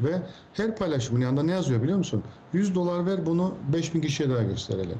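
Audible room echo surrounds a man with a fairly high pitch who talks fairly quickly. His pitch swings very widely while his loudness stays very even. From Cyprus. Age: 40s. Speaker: technology expert. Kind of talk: interview.

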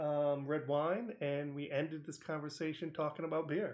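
A man with a normal speaking voice talks at a moderate pace. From New England (Connecticut). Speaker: podcast host. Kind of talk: interview.

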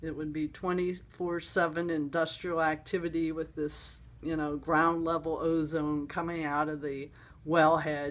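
Very slowly, a woman speaks in a very deep, low pitch with monotone, flat intonation. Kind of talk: interview answer. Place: home room. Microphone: phone near.

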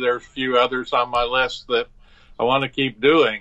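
With an American accent, a man talks in a medium pitch. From New Jersey. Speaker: painter, retired architecture professor. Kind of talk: interview. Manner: halting with fillers.

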